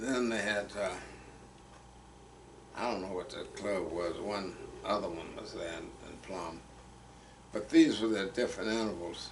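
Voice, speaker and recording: With an American accent, the speaker talks at a moderate pace, leaving long, frequent pauses, with big swings in loudness and noticeable background noise. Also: man, fairly low pitch for a man. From Fayette County, Texas. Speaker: retired soil conservationist, Navy veteran. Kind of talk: oral history interview answer.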